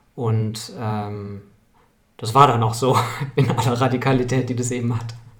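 A man's medium-pitched, somewhat breathy voice, flat and monotone at a fairly slow pace, with audible room echo. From Munich, Bavaria. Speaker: strategist and organisational consultant. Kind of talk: interview. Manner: halting, many filler sounds.

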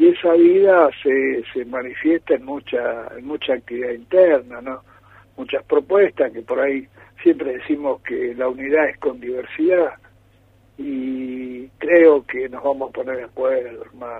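An ordinary speaking voice from a man, fairly high in pitch, with ordinary pitch variation, big swings in loudness and a fairly slow pace. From Argentina, San Juan. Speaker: politician. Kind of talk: radio interview. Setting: phone call.

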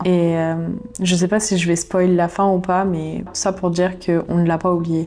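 A woman with a fairly low pitch at a fairly slow pace, over noticeable background noise. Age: 20s. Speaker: YouTuber and podcaster. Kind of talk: personal diary monologue. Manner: casual, conversational.

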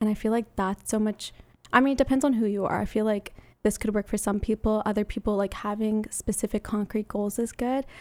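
On a very clean recording with a silent background, a woman speaks at a fairly quick pace in a monotone, flat way. Her loudness stays very even, and the sound is dry and close with no echo. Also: fairly high pitch for a woman. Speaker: university student. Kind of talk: casual chat.

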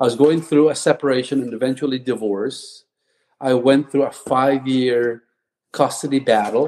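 A man's voice at medium pitch. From Philippines. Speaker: physical therapist. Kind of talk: interview testimony.

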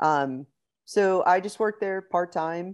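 A woman with an American accent talks at a fairly slow pace against a quiet background. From Pittsburgh, Pennsylvania. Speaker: competitive kayak angler and fishing instructor. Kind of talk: casual interview.

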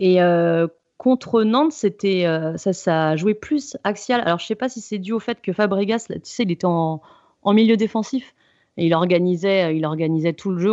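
Over a quiet background, a woman with a medium pitch and a dark, mellow tone talks at a moderate pace with ordinary pitch variation, the sound dry and close with no echo. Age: 30s. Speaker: football analyst. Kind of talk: casual chat.

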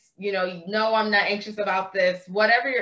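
A woman speaks in a raised, projected voice. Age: 30s. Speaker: body-awareness and self-love coach. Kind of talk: casual chat.

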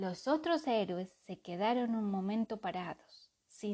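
Pitch moves in an ordinary way in this unforced reading voice. Little can be heard in the background.

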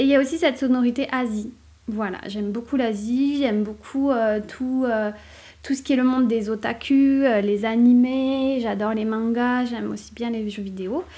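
A woman speaks with a dark, mellow tone at a high pitch. Her pace is moderate and her intonation fairly even. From southern France. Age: 30s. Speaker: author and podcaster. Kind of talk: casual solo podcast monologue. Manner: hesitant, many fillers.

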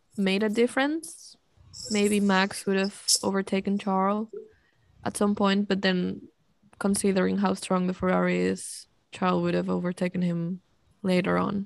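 Against a quiet background, a woman with a non-native accent speaks at a moderate pace with long, frequent pauses. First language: not English. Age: 20s. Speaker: podcast co-host. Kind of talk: casual chat.

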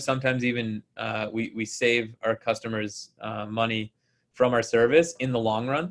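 In a Canadian accent, a man speaks at a medium pitch and moderate pace with fairly even intonation in a plain, everyday voice. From Ontario, Canada (Ottawa and Kingston). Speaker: construction company founder. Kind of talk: interview.

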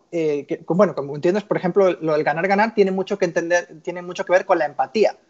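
The man's voice sits high in pitch. His pitch variation is ordinary. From Spain, Barcelona. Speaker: sales executive, former footballer. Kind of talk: interview. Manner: halting.

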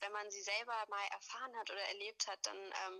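Speaking at a moderate pace, a woman keeps her intonation flat and monotone. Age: 20s. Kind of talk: interview.

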